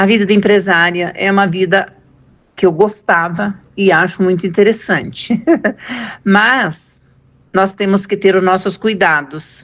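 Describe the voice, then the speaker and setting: Keeping very even loudness and fairly even intonation, a woman speaks at a medium pitch and a fairly slow pace with long, frequent pauses. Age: 60s. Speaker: former business owner. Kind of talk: testimony.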